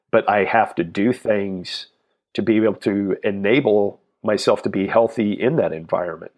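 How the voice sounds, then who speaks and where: With an American accent, a man talks at a moderate pace in an unremarkable speaking voice, fairly low in pitch with ordinary pitch variation. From South Texas. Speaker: fitness entrepreneur and trainer. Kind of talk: interview.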